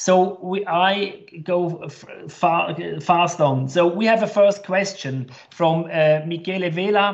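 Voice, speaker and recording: Very slow speech in a German accent, with ordinary pitch variation and hardly any pauses. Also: man, high pitch for a man. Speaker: chamber of commerce director. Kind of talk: webinar moderation. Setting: video call.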